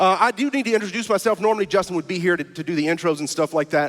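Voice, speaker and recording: A man with an American accent at a high pitch and a very fast pace, over noticeable background noise. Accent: Cajun Louisiana. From US South, South Louisiana (Cajun). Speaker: stand-up comedian and guest preacher. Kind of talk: sermon.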